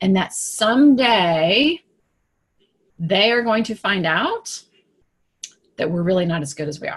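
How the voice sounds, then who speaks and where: A woman's somewhat breathy voice carries lively intonation and an animated tone at a fairly slow pace, broken by long, frequent pauses. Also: medium pitch for a woman. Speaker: business coach for women. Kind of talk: live broadcast talk to camera. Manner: halting, with fillers and repeats.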